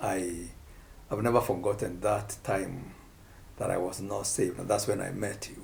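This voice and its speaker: A man with a fairly low pitch and vocal fry keeps a fairly even intonation, taking long, frequent pauses in audible room echo. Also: moderate pace, big swings in loudness. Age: 60s. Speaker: pastor. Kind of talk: casual chat.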